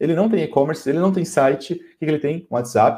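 A man's voice with a dark, mellow tone, pitched fairly high for a man. It sounds somewhat breathy. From São Paulo, Brazil. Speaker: podcast co-host. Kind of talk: casual chat. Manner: animated.

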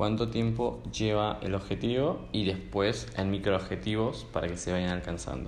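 Very wide pitch swings at a fairly slow pace, with audible room echo. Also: man, fairly low pitch for a man. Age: 20s. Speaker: podcast host. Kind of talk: interview conversation.

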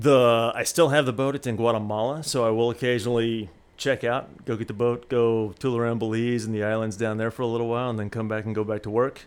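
The speaker has an American accent. The delivery is very fast, with hardly any pauses. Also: man. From US Midwest, Springfield, Missouri. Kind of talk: casual interview.

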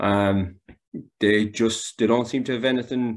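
Fairly low in pitch, a man with a Galway accent talks at a moderate pace with fairly even intonation. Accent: Galway Irish. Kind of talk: casual sports chat.

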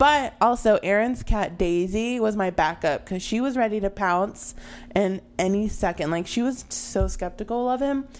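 This is a normal speaking voice at a moderate pace. Its pitch variation is ordinary. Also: woman, medium pitch for a woman. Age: 20s. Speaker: podcast co-host. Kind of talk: casual chat.

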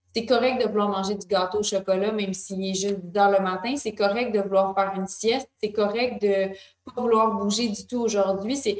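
A woman uses a normal speaking voice at a medium pitch. Her intonation is fairly even and her pace is moderate. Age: 20s. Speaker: wellness magazine co-founder. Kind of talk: interview conversation.

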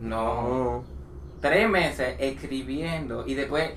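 Noticeable background noise and audible room echo come through in this recording. A man speaks with fairly even intonation. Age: 20s. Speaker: podcast co-host. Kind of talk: casual chat.

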